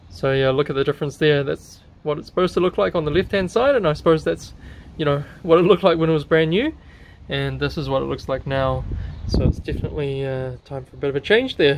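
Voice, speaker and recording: A man at a very fast pace, ordinary pitch variation, over noticeable background noise. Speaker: car hobbyist channel host. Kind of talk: tutorial. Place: garage. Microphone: phone near.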